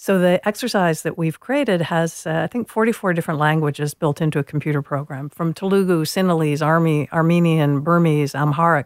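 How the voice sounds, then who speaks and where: A woman with a plain, everyday voice talks at a fairly quick pace in a fairly low pitch, with hardly any pauses. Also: ordinary pitch variation. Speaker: educator and author. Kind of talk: interview.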